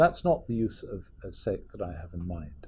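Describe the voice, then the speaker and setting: Speaking at a fairly slow pace with a Scottish accent, a man has a dark, mellow, somewhat breathy voice that makes very wide pitch swings. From Scotland. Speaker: professor. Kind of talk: lecture.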